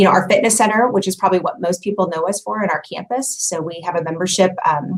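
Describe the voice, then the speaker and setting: With a Midwestern US accent, a woman speaks at a medium pitch with ordinary pitch variation. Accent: US Midwest. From Kansas City area. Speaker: community center staff member. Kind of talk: casual interview.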